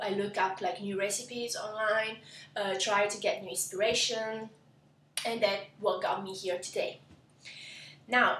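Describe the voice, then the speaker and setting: Speaking in an Italian accent, a woman with a fairly high pitch and ordinary pitch variation is heard with audible room echo. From southern Italy, Lecce (Apulia). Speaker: cooking blogger. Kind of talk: cooking tutorial intro. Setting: home kitchen, camera. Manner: halting, many fillers.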